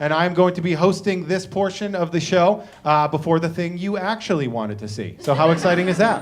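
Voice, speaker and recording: A man with an American accent speaks loudly at a fairly quick pace. His pitch is high. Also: lively intonation, hardly any pauses. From Boston, Massachusetts. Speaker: comedian and show host. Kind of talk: stand-up. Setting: living room concert with audience.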